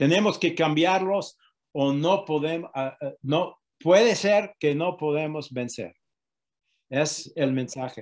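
Against a quiet background, a speaker with an English accent talks at a very slow pace with ordinary pitch variation. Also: man, fairly high pitch for a man. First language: English (speaking Spanish). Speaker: activist against antisemitism; interviewee. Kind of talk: interview. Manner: halting. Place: home room. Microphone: video call.

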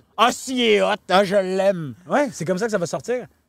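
Over a quiet background, a man with a high pitch and an animated tone talks at a moderate pace, the sound dry with no echo. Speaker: talent manager and fixer for celebrities; podcast guest. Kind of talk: casual podcast interview, storytelling. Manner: animated, mixes English slang into French. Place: farm machine. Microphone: handheld.

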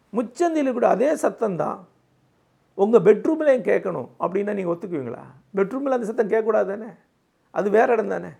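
A high-pitched man talks with lively intonation. The recording is very clean with a silent background. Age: 60s. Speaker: founder of a learning movement, speaker.

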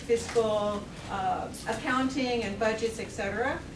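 A woman at a very slow pace, fairly even in intonation, with noticeable background noise. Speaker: presenter. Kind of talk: lecture. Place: classroom. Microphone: camera far.

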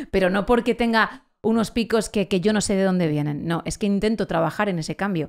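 Animated woman's voice at medium pitch, fairly quick with hardly any pauses and ordinary pitch variation. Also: quiet background. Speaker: late-night radio presenter; radio presenter. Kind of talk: casual chat. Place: studio. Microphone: studio mic.

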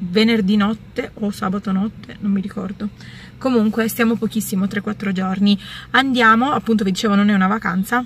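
At a fairly quick pace, the somewhat breathy voice stays monotone and flat, with a dry sound and no echo. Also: woman. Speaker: vlogger. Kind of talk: casual vlog chat. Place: car. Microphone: phone near.

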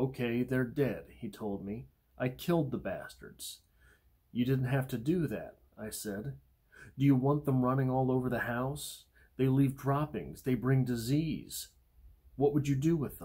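A man speaks somewhat breathily in a dark, mellow tone at a fairly slow pace, with ordinary pitch variation over a quiet background. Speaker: poetry channel host. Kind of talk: poetry discussion and reading. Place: home room. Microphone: phone near.

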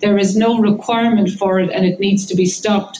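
A woman with an Irish accent at a fairly quick pace, monotone and flat in intonation, over light background noise. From Ireland. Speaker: professor of immunology, campaigner; professor of immunology. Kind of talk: press conference statement. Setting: press conference. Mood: urgent, earnest. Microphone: video call.

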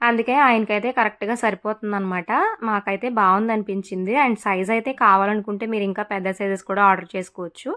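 A woman speaks at a medium pitch in a bright, sharp tone with fairly even intonation, on a very clean recording with a silent background. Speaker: vlogger. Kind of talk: vlog voiceover narration.

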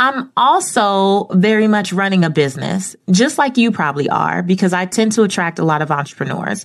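Over a quiet background, a woman talks at a moderate pace with lively intonation. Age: 30s. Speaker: podcast host and media personality. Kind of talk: solo podcast monologue. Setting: home studio. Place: studio.

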